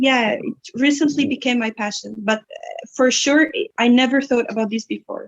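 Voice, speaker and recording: With an Egyptian accent, a woman talks at a moderate pace in a high voice with ordinary pitch variation. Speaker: English instructor and student. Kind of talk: interview.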